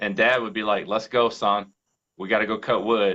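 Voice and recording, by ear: A bright, sharp tone with an American accent, moderate pace and fairly even intonation. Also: man.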